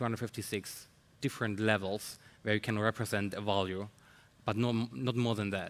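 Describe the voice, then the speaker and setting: With a non-native accent, a man speaks at a moderate pace with a fairly low pitch and fairly even intonation. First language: not English. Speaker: tech researcher or founder. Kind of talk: panel discussion. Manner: halting, many fillers.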